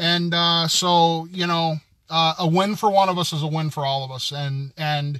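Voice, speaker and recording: High-pitched and bright, sharp in tone, a man talks at a moderate pace with fairly even intonation. The background is quiet, and the sound is dry with no echo. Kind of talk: casual live stream chat. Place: car. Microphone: phone near.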